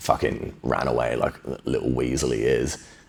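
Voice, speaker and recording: A man talks at a fairly slow pace with a very deep, low pitch. Noticeable background noise sits behind him. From England, Bristol. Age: 30s. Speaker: podcast guest, jiu-jitsu practitioner. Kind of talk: casual interview, personal story.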